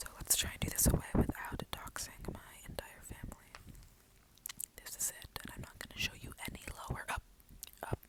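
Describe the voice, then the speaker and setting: A woman whispers at a fairly quick pace in a calm tone. Noticeable background noise can be heard. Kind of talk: ASMR video. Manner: whispered; quiet, calm.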